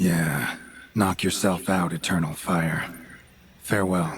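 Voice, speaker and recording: A man's put-on character voice, raspy and very deep in pitch, at a fairly slow pace. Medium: video game. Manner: terse, dry, clipped sentences.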